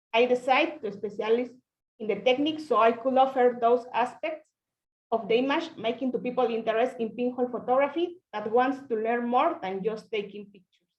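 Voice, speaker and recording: Speaking in a Spanish accent, a woman talks at a fairly quick pace in a high pitch, with ordinary pitch variation and big swings in loudness. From Mexico (Oaxaca). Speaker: pinhole photographer. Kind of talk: presentation on video call. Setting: video call.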